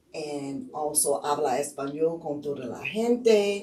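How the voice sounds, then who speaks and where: Audible room echo surrounds a woman with a New Orleans accent whose very deep, low voice shows ordinary pitch variation. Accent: New Orleans area Louisiana. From Louisiana, Jefferson Parish. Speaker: political candidate, teacher. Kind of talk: interview.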